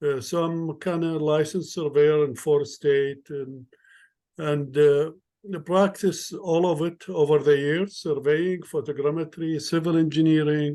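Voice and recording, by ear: The tone is dark and mellow, with fairly even intonation. The pace runs fairly slow. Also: man, fairly high pitch for a man.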